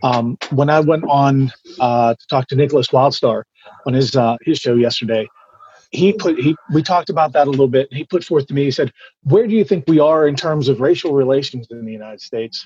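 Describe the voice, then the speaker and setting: In an American accent, a man with a plain, everyday voice talks at a fairly high pitch with ordinary pitch variation and big swings in loudness. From Pittsburgh, Pennsylvania. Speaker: political candidate, programmer. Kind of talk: political debate.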